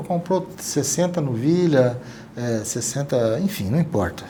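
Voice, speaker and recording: Noticeable background noise sits behind this man's voice. He speaks at a fairly slow pace with lively intonation. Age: 60s. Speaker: podcast host. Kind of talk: casual interview chat. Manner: halting, self-correcting.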